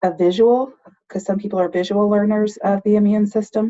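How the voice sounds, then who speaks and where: With fairly even intonation, a woman keeps up a moderate pace. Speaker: nursing instructor. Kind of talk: lecture. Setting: online class with screen share. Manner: sometimes too loud.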